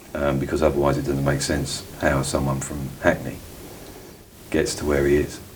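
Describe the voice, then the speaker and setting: A man talks at a moderate pace in a very deep, low pitch with monotone, flat intonation. Noticeable background noise and audible room echo fill the recording. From East London (Cockney). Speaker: interviewee, former elite insider. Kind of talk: interview. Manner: halting, many ums.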